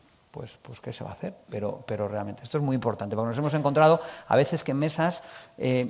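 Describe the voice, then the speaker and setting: Noticeable background noise surrounds a man speaking at a fairly quick pace. His medium-pitched voice shows ordinary pitch variation. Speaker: accounting expert speaker. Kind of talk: conference presentation. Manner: fast.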